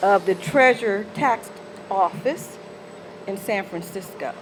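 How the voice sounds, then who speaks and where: Over noticeable background noise, a woman with an American accent speaks at a very slow pace. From US South, Mississippi. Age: 60s. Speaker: former city employee. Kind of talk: rally speech. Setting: outdoor rally.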